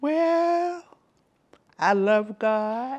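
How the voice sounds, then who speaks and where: A woman talks with a Southern US accent. Her pitch swings very widely. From South Carolina, USA. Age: 80s+. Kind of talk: interview answer.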